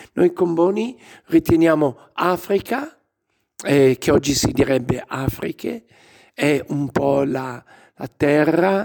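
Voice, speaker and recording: A man's fairly high voice with ordinary pitch variation, a very slow pace and long, frequent pauses. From Lombardy, Legnano near Milan. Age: 60s. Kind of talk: interview.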